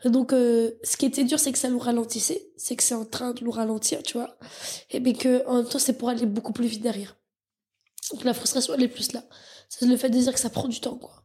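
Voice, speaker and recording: A woman's high-pitched, dark and mellow voice, fairly quick, with fairly even intonation. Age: 20s. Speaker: startup founder and CEO. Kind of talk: casual interview.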